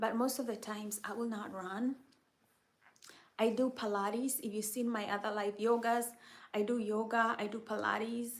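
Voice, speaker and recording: Pausing long and often, a woman with an American accent talks at a moderate pace in a fairly high pitch with monotone, flat intonation. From Kenya. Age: 30s. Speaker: mental health helper and live streamer. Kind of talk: casual live chat answering viewers. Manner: conversational, repetitive.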